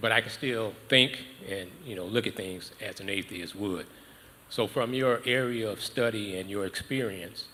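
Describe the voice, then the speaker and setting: This man has a normal speaking voice. He talks at a moderate pace with ordinary pitch variation. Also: fairly low pitch for a man. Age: 60s. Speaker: audience member asking a question. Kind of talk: audience question.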